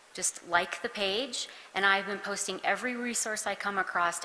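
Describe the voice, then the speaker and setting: A soft-spoken woman talks at a moderate pace and a medium pitch. Noticeable background noise can be heard. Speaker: county social worker helping with flood recovery. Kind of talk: public meeting presentation. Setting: town hall meeting in a church.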